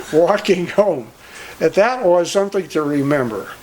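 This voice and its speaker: A man with a Midwestern American accent speaks at a fairly slow pace in a high pitch with lively intonation, and noticeable background noise is present. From Cleveland, Ohio. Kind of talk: storytelling.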